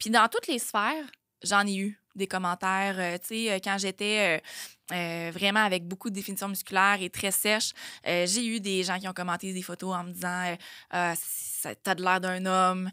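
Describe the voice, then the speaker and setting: With a Quebec accent, a woman speaks at a moderate pace and medium pitch, her tone bright and sharp and her intonation fairly even, in a dry, echo-free recording with a quiet background. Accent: Québécois French. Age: 30s. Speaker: fitness trainer and nutrition coach; fitness trainer, nutrition coach. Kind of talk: casual chat. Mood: reflective, personal story. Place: studio. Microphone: studio mic.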